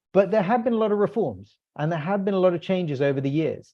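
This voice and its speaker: A man with a British accent talks at a very fast pace. His intonation is lively. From UK. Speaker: policy analyst. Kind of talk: webinar panel discussion. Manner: halting, many fillers.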